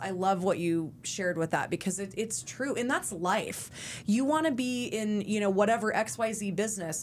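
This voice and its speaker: Here is a woman with a normal speaking voice. Her pitch is fairly high and her intonation lively. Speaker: podcast host and performer. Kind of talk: podcast interview.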